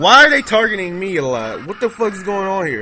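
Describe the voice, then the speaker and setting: A man talks in a raised, projected voice pitched high, with very wide swings in pitch. Noticeable noise sits in the background. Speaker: gaming YouTuber. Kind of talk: angry gamer rant during live gameplay commentary, cursing at lag and enemies. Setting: screen recording gameplay commentary. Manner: loud, exasperated, swearing and exclaiming in bursts; excitable, erratic, shouting short interjections.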